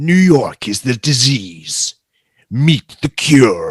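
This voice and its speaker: Very slowly and with a dramatic tone, a man uses a put-on character voice, fairly high in pitch with lively intonation, recorded dry and close with no echo. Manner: dramatic, portentous.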